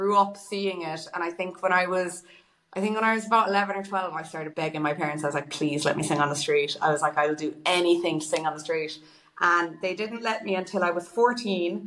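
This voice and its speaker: A woman with a western Irish accent, fairly low pitch, ordinary pitch variation and a fairly quick pace. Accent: Irish (west of Ireland). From Ireland, Galway. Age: 20s. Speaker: singer and busker. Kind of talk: casual interview chat.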